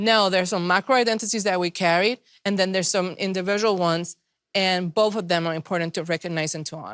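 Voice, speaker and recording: In a very clean recording with a silent background and a dry, close sound with no echo, a woman talks at a very fast pace. She has a medium pitch, ordinary pitch variation and a non-native accent. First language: not English. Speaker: panelist. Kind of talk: panel discussion. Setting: virtual event.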